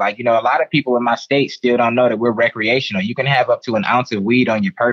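The voice rushes at a very fast pace with ordinary pitch variation. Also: man. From Detroit, Michigan, US. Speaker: cannabis social media personality. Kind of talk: casual interview chat. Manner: laid-back, casual.

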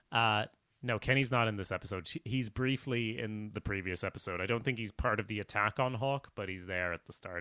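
The tone is bright and sharp, and the pace fairly quick. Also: man, ordinary pitch variation, dry, close sound with no echo, quiet background. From Sweden. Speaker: podcast host. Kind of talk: casual chat. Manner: halting.

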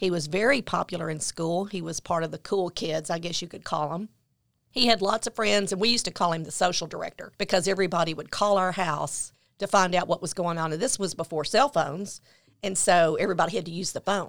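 A woman with a Tennessee accent at a fairly low pitch and a very fast pace, with ordinary pitch variation, in a very clean recording with a silent background. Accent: Southern US (Tennessee). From US South, Memphis, Tennessee. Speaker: author and mother of a son with addiction. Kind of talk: interview testimony.

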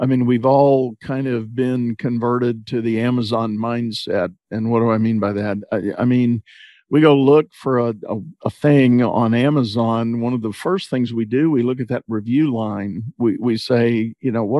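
The speaker has a Texan accent and a moderate pace. The intonation stays fairly even. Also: man, medium pitch for a man. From Texas. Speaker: podcast host, leadership coach. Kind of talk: interview. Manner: laid-back, low-key.

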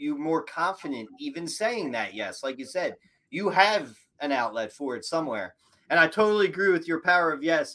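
An energetic man with an American accent talks in a bright, sharp tone and lively intonation. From Philadelphia, US. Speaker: podcast host, mortgage broker. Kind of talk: interview.

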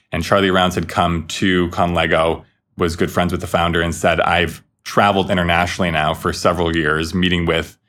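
This man has a very deep, low-pitched voice and speaks with an American accent. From Minnesota, US (Stillwater). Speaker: social enterprise founder and CEO. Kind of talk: interview conversation.

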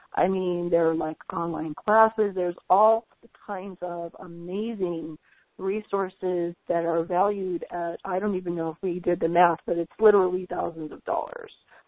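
A woman with an unremarkable speaking voice, medium pitch, and fairly even intonation speaks at a moderate pace. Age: 50s. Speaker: spiritual channel host. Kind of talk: webcast interview. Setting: webcast call.

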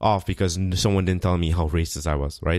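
Pitch moves in an ordinary way. The recording is very clean, the background silent. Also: man. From South America. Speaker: podcast host. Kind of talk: casual chat.

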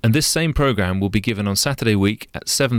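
Using an ordinary speaking voice, a man talks at a fairly quick pace in a fairly low pitch with ordinary pitch variation. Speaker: concert calendar co-presenter. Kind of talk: radio announcer reading concert listings. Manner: crisp, steady, polished broadcast delivery.

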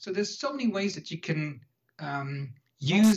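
In a Dutch accent, a man talks at a moderate pace with lively intonation. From Netherlands. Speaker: entrepreneur and blogger. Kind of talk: interview. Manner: hesitant.

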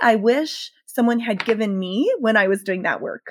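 A woman with an unremarkable speaking voice, fairly high pitch and ordinary pitch variation, dry and close with no echo on a very clean recording with a silent background. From US South, rural Southern Maryland. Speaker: pastor and author. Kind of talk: interview.

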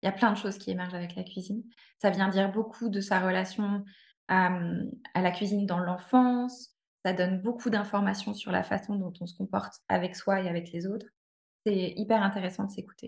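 A woman's somewhat breathy voice at a medium pitch, with monotone, flat intonation and a moderate pace. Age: 30s. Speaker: cooking therapy practitioner. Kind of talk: interview.

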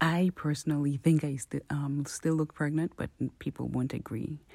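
Her tone is dark and mellow, her pitch very deep and low for a woman. The intonation stays fairly even. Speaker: mother. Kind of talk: recorded interview answer.

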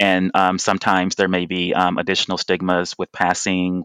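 A man's low voice with an American accent, a fairly bright, clear, smooth tone and a dry, close sound with no echo

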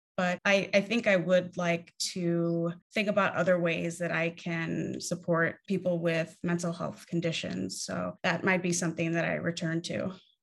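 A woman with an American accent speaks at a moderate pace with hardly any pauses, her pitch fairly low. Her intonation stays fairly even in a plain, everyday voice. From New York City, Spanish Harlem. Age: 30s. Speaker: mental health activist. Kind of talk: interview.

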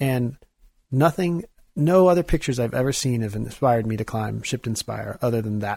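A man's medium-pitched, somewhat breathy voice in a dark, mellow tone, fairly quick, with ordinary pitch variation, on a very clean recording with a silent background and a dry, close sound with no echo. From US Midwest, Kansas City area, Missouri. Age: 30s. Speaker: artist and climber. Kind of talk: casual interview chat. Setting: studio.

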